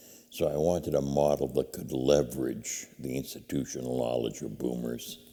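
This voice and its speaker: With an American accent, a man speaks at a moderate pace in a very deep, low voice. His tone is dark and mellow, with vocal fry. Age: 70s. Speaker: nonprofit founder. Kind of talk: interview. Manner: halting, with many fillers.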